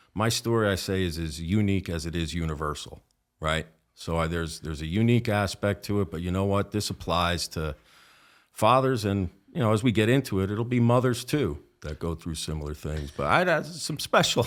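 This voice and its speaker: With a slight New Jersey accent, a man speaks in a very deep, low voice at a fairly quick pace. His intonation is lively, and the recording is very clean with a silent background. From northern New Jersey, Essex County. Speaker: police officer. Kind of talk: podcast interview.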